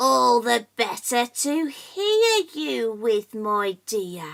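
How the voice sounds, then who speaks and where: A woman uses a put-on character voice, pitched fairly high and delivered at a very slow pace. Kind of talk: bedtime story. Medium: read story. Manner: sly.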